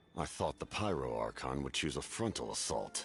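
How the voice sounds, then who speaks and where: A man puts on a character voice that is very deep and low, with very wide pitch swings, as clear music plays in the background. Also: moderate pace. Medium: video game. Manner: grave, measured, stern.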